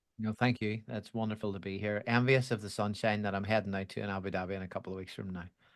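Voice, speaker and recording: A man with a Belfast accent talks at a very fast pace with hardly any pauses. His fairly low voice has fairly even intonation on a very clean recording with a silent background. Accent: Belfast Irish. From Northern Ireland, Belfast. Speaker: education executive at a software company. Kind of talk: podcast interview.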